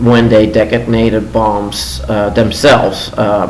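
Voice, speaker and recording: A man speaks at a very slow pace with fairly low pitch and fairly even intonation. Noticeable background noise runs underneath. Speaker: news commentator. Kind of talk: casual news commentary to camera. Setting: home living room.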